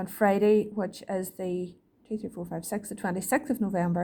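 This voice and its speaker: Her voice is dark and mellow in tone and somewhat breathy, a woman speaking. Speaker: shorthand teacher. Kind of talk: lesson to students. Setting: recorded video lesson.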